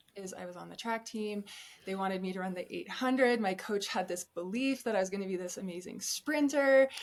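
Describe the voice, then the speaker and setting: With an American accent and an unremarkable speaking voice, a woman of medium pitch talks at a fairly quick pace, showing ordinary pitch variation and big swings in loudness. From Colorado. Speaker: ultrarunner. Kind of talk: podcast interview. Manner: casual, conversational.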